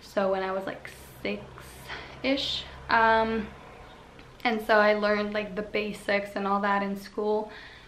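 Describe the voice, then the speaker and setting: The speech moves at a very slow pace with monotone, flat intonation, and audible room echo surrounds it. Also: woman, medium pitch for a woman. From Slovenia. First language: Slovene. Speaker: vlogger. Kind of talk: casual chat.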